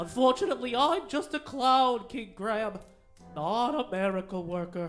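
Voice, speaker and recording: A put-on character voice at fairly high pitch and a moderate pace, with faint music in the background. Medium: game stream. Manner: joking, mischievous.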